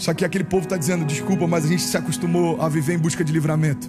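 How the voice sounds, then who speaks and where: Over music in the background, a man speaks in an energetic tone with a high pitch. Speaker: pastor. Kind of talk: sermon / preaching. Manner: energetic, exhortative, addressing a congregation.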